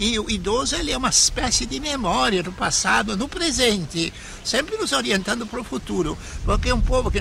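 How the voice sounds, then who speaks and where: A man's high voice at a moderate pace with very wide pitch swings over noticeable background noise. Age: 70s. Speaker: bishop. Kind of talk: interview.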